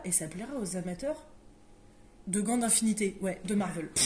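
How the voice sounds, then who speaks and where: A woman talks at a moderate pace with a medium pitch and lively intonation. Noticeable background noise is present. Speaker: board game shop presenter. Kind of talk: casual product presentation. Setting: game shop.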